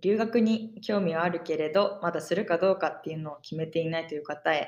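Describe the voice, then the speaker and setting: Here is an ordinary speaking voice from a woman, fairly low in pitch. She talks at a moderate pace with lively intonation. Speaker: podcast co-host, exchange student. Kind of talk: casual chat.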